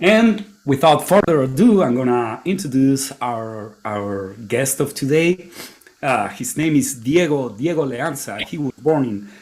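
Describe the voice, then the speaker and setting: A man talks at a moderate pace in a fairly high pitch, with noticeable background noise around him. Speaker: podcast host. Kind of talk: casual chat. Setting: live stream.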